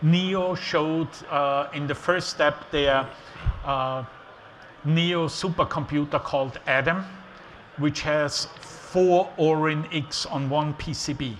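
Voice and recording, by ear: A man speaks slowly with an Austrian accent and fairly even intonation. His voice sits fairly high and has a fairly bright tone.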